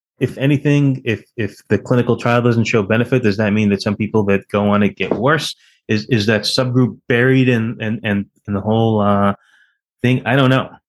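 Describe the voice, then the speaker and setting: A normal speaking voice from a man, medium in pitch, with fairly even intonation, very even loudness and a moderate pace, against a quiet background. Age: 50s. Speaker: podcast host, infectious disease physician. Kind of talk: interview.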